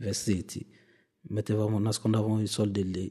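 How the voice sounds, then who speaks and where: This man's voice is fairly low, with a dark, mellow tone and fairly even intonation. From Mali. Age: 30s. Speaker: refugee. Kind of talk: testimony. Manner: halting.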